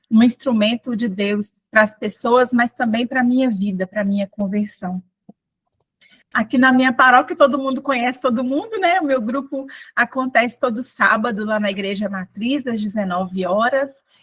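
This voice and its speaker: With a high pitch and ordinary pitch variation, a woman talks at a moderate pace in a dry, close sound with no echo. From Brazil, northeast Minas Gerais near Bahia border. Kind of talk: testimony.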